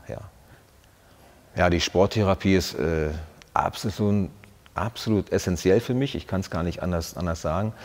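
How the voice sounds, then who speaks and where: The man's very deep, low voice moves at a moderate pace. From Brandenburg, eastern Germany. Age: 40s. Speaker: soldier, former paratrooper squad leader. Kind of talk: interview answer. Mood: reflective, earnest, personal. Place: studio. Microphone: lapel.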